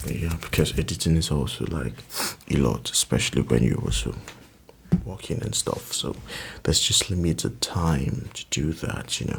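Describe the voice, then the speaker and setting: Soft-spoken, a man talks at a moderate pace with a very deep, low pitch. His pitch swings very widely. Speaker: ASMR creator. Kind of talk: soft-spoken ASMR chat. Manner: rambling, casual.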